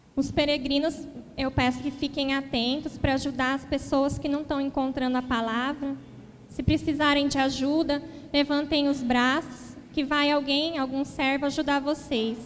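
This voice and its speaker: This woman's voice is high in pitch. Her intonation stays flat and monotone at a moderate pace. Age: 20s. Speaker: lay preacher. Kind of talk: sermon.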